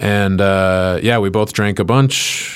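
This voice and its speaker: A man with an American accent talks at a fairly low pitch, using fairly even intonation, in an unremarkable speaking voice. The recording is very clean with a silent background. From Chicago suburbs, Illinois, then Henderson, Nevada from age twelve. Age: 30s. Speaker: stand-up comedian. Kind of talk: casual chat. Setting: studio.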